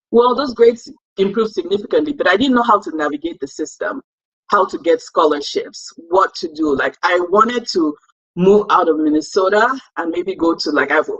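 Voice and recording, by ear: A woman with a fairly low pitch talks at a moderate pace. Her intonation is lively, with a slightly husky edge.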